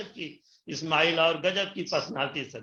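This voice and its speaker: The man's voice is raised and projected. It carries a bright, sharp tone. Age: 60s. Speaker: retiree turned direct-selling distributor. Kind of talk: interview testimony. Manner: animated.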